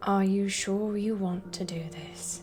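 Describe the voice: A soft-spoken, female-sounding put-on character voice at a medium pitch moves at a fairly slow pace. Clear music plays in the background.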